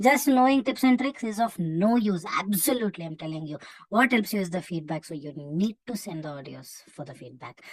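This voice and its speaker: At a moderate pace, a woman with an Indian accent speaks at a medium pitch, somewhat breathy and with very wide pitch swings. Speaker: English test coach. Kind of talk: live online class.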